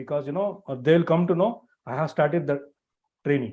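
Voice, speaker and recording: A man with an ordinary speaking voice, fairly high in pitch, at a fairly quick pace and with ordinary pitch variation. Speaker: networking trainer. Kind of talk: live online class lecture. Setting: live stream with screen share.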